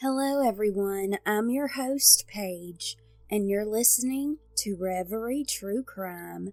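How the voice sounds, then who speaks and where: Music plays behind a woman with a fairly high pitch. She speaks at a very slow pace with ordinary pitch variation. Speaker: true crime podcast host. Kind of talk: podcast narration.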